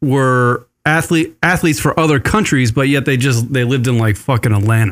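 On a very clean recording with a silent background, a man with a plain, everyday voice speaks at a fairly high pitch with lively intonation. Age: 40s. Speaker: podcast co-host. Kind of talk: casual chat. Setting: studio.

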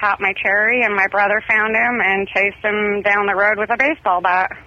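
At a fairly quick pace, a woman with an American accent speaks over noticeable background noise. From Southern California. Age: 30s. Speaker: caller. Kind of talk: casual chat. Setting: phone call.

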